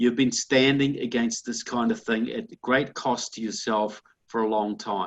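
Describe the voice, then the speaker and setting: Speaking at a fairly slow pace, a man has an unremarkable speaking voice, medium in pitch with fairly even intonation. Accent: American. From outside the United States. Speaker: political commentator. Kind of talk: interview. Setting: conference call.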